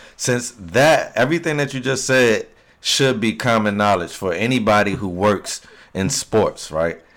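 A man has an unremarkable speaking voice at medium pitch. He moves at a fairly slow pace with lively intonation. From Virginia, Hampton Roads area. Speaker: podcast co-host. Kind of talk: casual chat.

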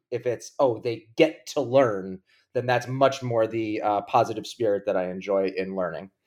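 A man with an American accent and an unremarkable speaking voice, at a moderate pace with ordinary pitch variation, on a very clean recording with a silent background. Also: medium pitch for a man. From US Northeast (Long Island, New York). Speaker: investor and professor. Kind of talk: casual interview.

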